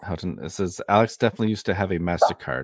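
A very fast male voice with vocal fry and ordinary pitch variation, on a very clean recording with a silent background and a dry, close sound with no echo. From Maine (Leeds). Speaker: true crime podcast host. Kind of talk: interview.

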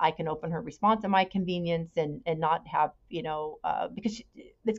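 The intonation is lively, delivered in a Californian accent. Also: woman. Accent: Californian American. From California, Bay Area. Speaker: podcast guest sharing personal story. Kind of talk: personal testimony in interview.

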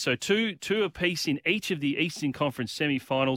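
Talking at a fairly quick pace, a man with an Australian accent has a fairly high pitch and a bright, sharp tone. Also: very clean recording, silent background. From Western Australia, Perth. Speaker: American sports commentator. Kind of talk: casual chat.

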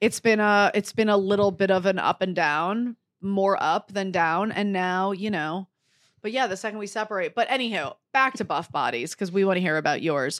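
A woman with an American accent and an unremarkable speaking voice talks at medium pitch and a moderate pace, with ordinary pitch variation. The recording is very clean and dry, with a close sound, no echo and a silent background. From Detroit. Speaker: comedian. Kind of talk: casual chat. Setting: hotel room.

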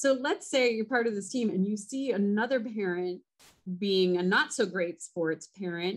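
A woman with a plain, everyday voice and a General American accent speaks at a medium pitch and moderate pace with lively intonation. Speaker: podcast host. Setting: studio.

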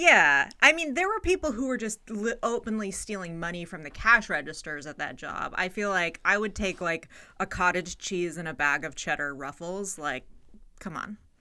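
Speaking in a Californian accent at a moderate pace, a woman has a bright, sharp tone, medium pitch, lively intonation and big swings in loudness, in a very clean recording with a silent background. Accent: Californian American. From US West Coast, San Francisco Bay Area. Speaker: comedian and podcaster. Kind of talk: casual chat.

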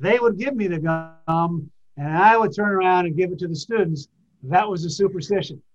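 A man's high voice with ordinary pitch variation at a moderate pace. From New England, New Hampshire. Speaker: retired athletic director. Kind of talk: interview. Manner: conversational.

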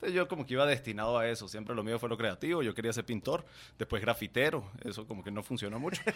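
Very fast speech from a man at medium pitch, ordinary pitch variation, on a very clean recording with a silent background. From Venezuela, raised in Guatemala. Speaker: marketing agency founder. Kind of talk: casual interview.

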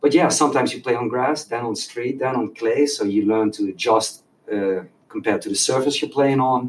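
At a fairly quick pace, a man with a Dutch accent speaks at medium pitch with ordinary pitch variation. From Netherlands. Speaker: youth soccer coach. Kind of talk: casual chat.

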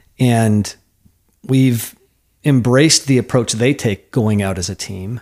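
With an American accent, a man has an unremarkable speaking voice, talking at medium pitch and a fairly slow pace with ordinary pitch variation on a very clean recording with a silent background. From US Midwest, Iowa. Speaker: lawyer and nonprofit founder. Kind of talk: casual interview conversation. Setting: home garage studio.

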